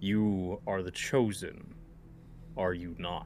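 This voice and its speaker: Over clear background noise, a man speaks very slowly in a put-on character voice. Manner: ominous.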